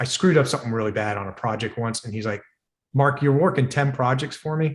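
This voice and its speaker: Talking at a very fast pace, a man with a medium-pitched, somewhat breathy voice uses ordinary pitch variation. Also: very clean recording, silent background. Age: 60s. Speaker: device developer and entrepreneur. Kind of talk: podcast interview. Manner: animated.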